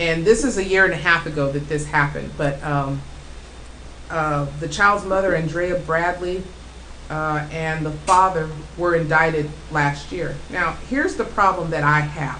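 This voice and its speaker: A woman's fairly low-pitched voice with an American accent, at a fairly slow pace, with fairly even intonation and noticeable background noise. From United States. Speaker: radio show host. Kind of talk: talk radio host monologue. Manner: casual, outspoken.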